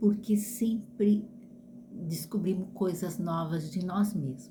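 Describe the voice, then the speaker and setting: Her pitch sitting in the middle range and varying normally, a woman talks very slowly. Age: 60s. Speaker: vlogger. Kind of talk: casual monologue. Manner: halting.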